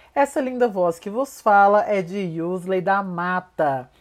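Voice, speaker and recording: On a very clean recording with a silent background, a woman at medium pitch uses lively intonation in an ordinary speaking voice. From Minas Gerais, Brazil (Uberlândia). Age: 20s. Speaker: fashion and beauty consultant, content creator. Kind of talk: scripted narration. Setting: home recording.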